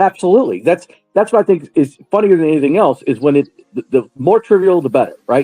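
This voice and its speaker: A man talks at a very fast pace with a high pitch and lively intonation. The sound is dry and close with no echo, and music plays in the background. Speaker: stand-up comedian. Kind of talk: casual chat. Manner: high-energy.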